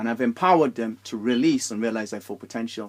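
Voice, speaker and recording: A man talks at a very fast pace with medium pitch. The recording is very clean, with a silent background. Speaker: dance leader and educator. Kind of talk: motivational talk to camera. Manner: non-standard, effortful speech.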